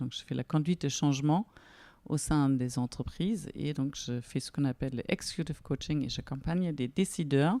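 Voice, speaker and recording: Very deep and low in pitch with a dark, mellow tone, a woman with a German accent speaks at a moderate pace with ordinary pitch variation in a very clean recording with a silent background and a dry, close sound with no echo. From Germany, near Frankfurt. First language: German (speaking French). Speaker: business coach. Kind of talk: podcast interview.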